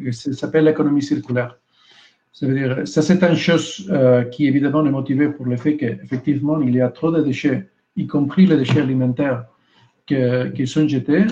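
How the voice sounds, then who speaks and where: Speaking with a Spanish accent, a man sounds somewhat breathy, with a dark, mellow tone, fairly high pitch, fairly even intonation and a moderate pace. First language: Spanish (speaking French). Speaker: EU communication official. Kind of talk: panel debate. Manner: halting, searching for words.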